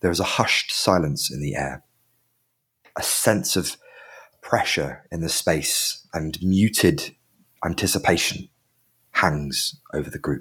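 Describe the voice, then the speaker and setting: This man speaks fairly slowly. Long pauses break up his speech often. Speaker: dungeon master. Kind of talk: tabletop role-playing podcast, narrating and playing characters. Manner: animated, jokey, does character voices.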